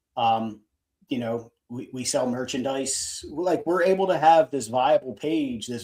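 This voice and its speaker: A man with a Philadelphia accent talks at a medium pitch and a moderate pace, his tone dark and mellow, with ordinary pitch variation. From Philadelphia, US. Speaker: fan podcast co-host. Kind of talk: casual chat. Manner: halting.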